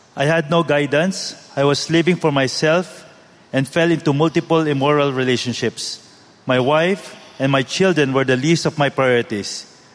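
A man speaks with a fairly high pitch and fairly even intonation. His loudness stays very even over noticeable background noise. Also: moderate pace. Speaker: church member. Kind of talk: testimony. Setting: church.

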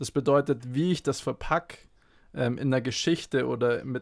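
A man with a plain, everyday voice at a medium pitch and moderate pace, on a very clean recording with a silent background. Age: 20s. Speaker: athletic trainer. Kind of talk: podcast interview.

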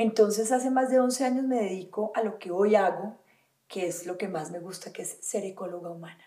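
This woman has a normal speaking voice. She speaks at a moderate pace with ordinary pitch variation. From Colombia, Valle del Cauca. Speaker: holistic wellness teacher. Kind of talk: interview conversation.

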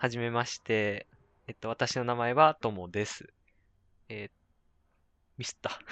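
Speaking at a fairly slow pace with long, frequent pauses, a man with a medium pitch keeps his intonation fairly even while his loudness swings widely. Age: 20s. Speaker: podcast host. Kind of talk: casual chat.

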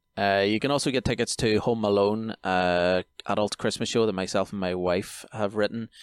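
With an Irish accent, a man speaks at a moderate pace with hardly any pauses, fairly low pitch and fairly even intonation, on a very clean, dry, close recording with a silent background and no echo. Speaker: podcast host. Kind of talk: casual chat.

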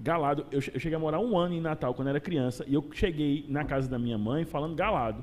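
A man with a fairly high pitch at a very fast pace, with hardly any pauses. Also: ordinary pitch variation. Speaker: podcast host. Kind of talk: casual interview chat. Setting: live show.

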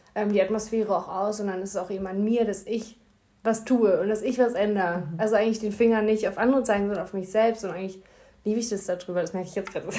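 Very fast speech comes from a woman with a medium pitch. Her tone is dark and mellow, and her intonation is fairly even. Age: 20s. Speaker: social worker. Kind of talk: casual chat.

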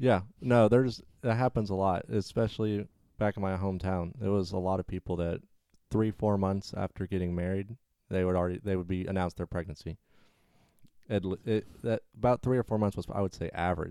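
On a very clean recording with a silent background and a dry, close sound with no echo, a man with an American accent speaks fairly quickly in a very deep, low, dark, mellow voice with fairly even intonation. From US South. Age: 20s. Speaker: friend of the host. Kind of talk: casual chat.

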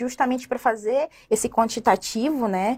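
A woman is heard in a dry, close sound with no echo. The recording is very clean, with a silent background. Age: 30s. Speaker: university professor. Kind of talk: interview. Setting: radio studio.

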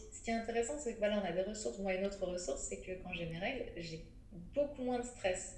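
A woman at medium pitch and very fast pace, with lively intonation, big swings in loudness, noticeable background noise and audible room echo. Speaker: menstrual cycle educator and author. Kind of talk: interview. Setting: remote recording.

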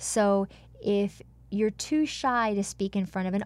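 An ordinary speaking voice from a woman at medium pitch, with ordinary pitch variation, in a very clean recording with a silent background. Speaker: voice and speech coach. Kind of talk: interview. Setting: studio.

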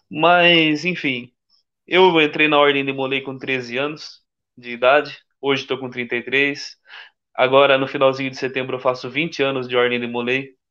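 This man has an ordinary speaking voice at a medium pitch. He speaks at a fairly slow pace with fairly even intonation. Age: 30s. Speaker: Freemason, corporate employee. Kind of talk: casual live-stream interview.

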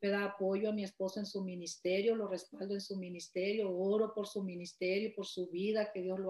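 A woman of medium pitch speaks with fairly even intonation at a moderate pace. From Nayarit, Mexico. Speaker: church member sharing testimony. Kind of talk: testimony.

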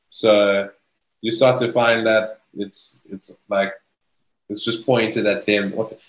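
Monotone and flat, a man talks at a very slow pace with long, frequent pauses. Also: fairly low pitch for a man. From Zimbabwe. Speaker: office worker. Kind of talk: casual chat.

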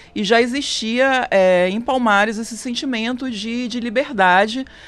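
A woman's fairly high voice at a fairly slow pace, with ordinary pitch variation and music in the background. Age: 30s. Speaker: lawyer on racial equality commission. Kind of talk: radio interview. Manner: halting, many fillers.

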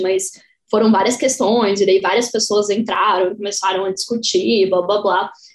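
A woman talks at a moderate pace and medium pitch. She has an unremarkable speaking voice. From Santa Catarina, Brazil (Joinville). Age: 20s. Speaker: podcaster, guest. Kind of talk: casual chat.

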